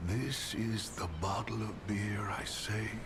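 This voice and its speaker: A man whispers in a put-on character voice. Loud background noise fills the recording. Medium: game stream. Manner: gruff, world-weary.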